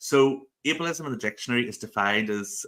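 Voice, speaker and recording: A man with a Northern Irish accent speaks in a bright, sharp tone. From Northern Ireland (rural). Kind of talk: interview. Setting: live video stream.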